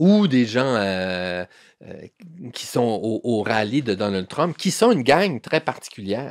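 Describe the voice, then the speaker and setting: Very wide pitch swings run through a man's very slow speech at a medium pitch. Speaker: newspaper columnist. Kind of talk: interview conversation. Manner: halting, many repetitions and fillers.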